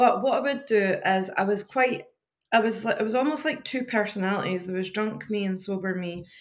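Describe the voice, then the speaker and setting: A woman uses an ordinary speaking voice with a fairly high pitch, talking at a moderate pace and with ordinary pitch variation. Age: 40s. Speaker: life coach. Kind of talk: casual chat.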